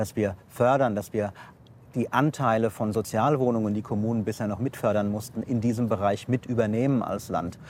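A man uses an ordinary speaking voice and keeps to a moderate pace. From Hesse, Offenbach. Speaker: state government minister. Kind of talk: political interview. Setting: outdoors at a railway construction site.

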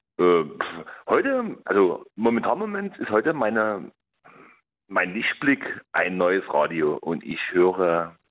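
A man is talking. His pace is very slow. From outskirts of Dresden, Saxony. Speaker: caller. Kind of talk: phone-in conversation.

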